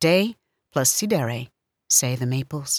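A woman speaks very slowly in a solemn tone, her pitch swinging very widely. The recording is very clean and dry, close with no echo, and the background silent. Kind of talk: poetry reading, read aloud. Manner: measured, solemn, deliberate.

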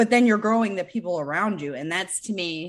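A woman with an American accent talks at a fairly quick pace with lively intonation in an ordinary speaking voice. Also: quiet background. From Michigan, US Midwest. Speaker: cannabis entrepreneur and author. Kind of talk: podcast interview.

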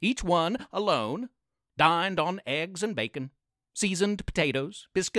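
A natural reading voice, its pitch varying in an ordinary way, sits against a quiet background.

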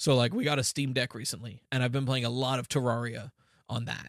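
The recording is very clean, with a silent background and a dry, close sound with no echo. A man speaks at a medium pitch and a fairly quick pace. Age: 20s. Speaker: podcast host. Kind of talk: casual chat. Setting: home basement. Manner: hesitant, many fillers. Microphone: new microphone.

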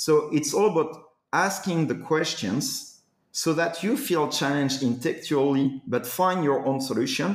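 Fairly slow yet with hardly any pauses, a man with an unremarkable speaking voice and fairly high pitch speaks at very even loudness with ordinary pitch variation. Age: 40s. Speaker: executive coach. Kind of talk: interview.

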